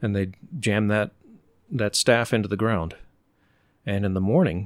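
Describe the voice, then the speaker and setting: A man with an American accent talks at a fairly low pitch, his pitch varying in an ordinary way, in a very clean recording over a silent background. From Oklahoma, later Virginia. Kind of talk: casual interview conversation. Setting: host's home.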